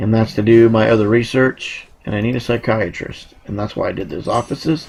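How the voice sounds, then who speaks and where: A man at a moderate pace. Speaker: gaming video creator. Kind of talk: gameplay commentary. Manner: animated.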